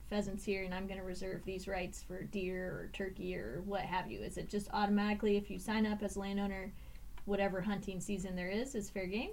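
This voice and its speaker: The speaker talks at a fairly quick pace with an American accent, and the room echo is audible. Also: woman. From Indiana. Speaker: podcast co-host, regional ecologist. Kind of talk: casual chat. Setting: recording studio. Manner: animated.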